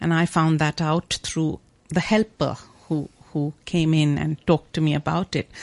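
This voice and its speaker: Recorded dry and close with no echo over a quiet background, a woman talks at a moderate pace in a very deep, low pitch with fairly even intonation. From India, Mumbai. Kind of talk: radio interview.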